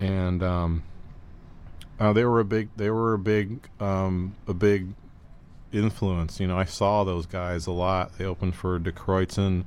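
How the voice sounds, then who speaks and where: A plain, everyday voice, this man speaks at a fairly slow pace with an American accent, a fairly low pitch and fairly even intonation. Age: 40s. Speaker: musician and guest DJ. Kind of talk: casual chat.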